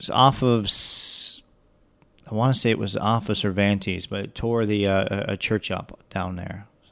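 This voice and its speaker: This man talks at a moderate pace in an American accent, his pitch fairly low and his intonation fairly even. His tone is bright and sharp. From Metro Detroit, Michigan. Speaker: TV station creative director. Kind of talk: casual chat.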